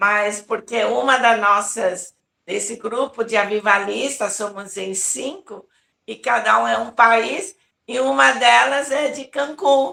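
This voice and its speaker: A woman's bright, sharp voice at a fairly high pitch with vocal fry, lively intonation, big swings in loudness and a very slow pace. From Brazil, São Paulo (Taiwanese-born). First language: Taiwanese (speaking Portuguese). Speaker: apostle, revival preacher. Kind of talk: interview testimony.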